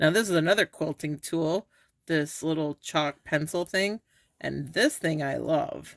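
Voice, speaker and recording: Speaking at a fairly slow pace with vocal fry, a woman uses a very deep, low pitch in a dry, close recording with no echo, very clean against a silent background. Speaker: maker and sewing tutorial creator. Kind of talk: tutorial. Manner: casual, chatty.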